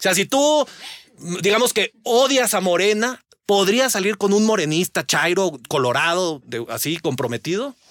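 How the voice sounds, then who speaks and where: A man with a high pitch speaks at a fairly slow pace in an animated tone with very wide pitch swings, recorded dry and close with no echo. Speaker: political analyst. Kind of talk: panel discussion. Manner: animated, slangy.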